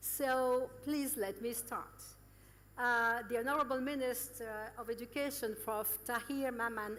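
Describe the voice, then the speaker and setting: In audible room echo, a woman with a fairly high pitch talks at a moderate pace with ordinary pitch variation. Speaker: EU representative. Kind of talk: formal speech. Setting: conference with audience. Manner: formal.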